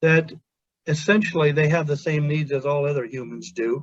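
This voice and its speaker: This man's voice is somewhat breathy and fairly high in pitch. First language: Pennsylvania Dutch. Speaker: hospital chaplain. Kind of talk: webinar presentation.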